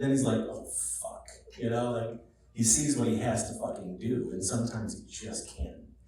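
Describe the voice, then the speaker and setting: Amid noticeable background noise and audible room echo, a man with an American accent speaks at a medium pitch with fairly even intonation. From Rochester, New York. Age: 40s. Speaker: film director. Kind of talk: Q&A panel at a screening.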